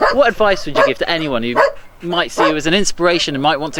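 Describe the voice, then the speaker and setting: Very fast and with lively intonation, a man speaks at a high pitch amid noticeable background noise. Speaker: local newspaper reporter. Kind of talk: news report narration and interview questions.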